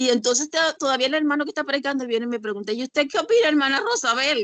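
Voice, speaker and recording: This woman talks at a very fast pace in a high pitch. Her tone is animated and her intonation lively. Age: 60s. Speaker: church member sharing experience. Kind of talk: testimony.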